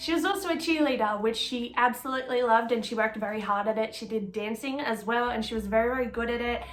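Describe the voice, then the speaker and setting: Over noticeable background noise and audible room echo, a woman talks at a fairly quick pace with an Australian accent. Her pitch is fairly high and her intonation fairly even. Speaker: true crime YouTuber. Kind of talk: casual true crime narration. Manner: chatty, informal with fillers.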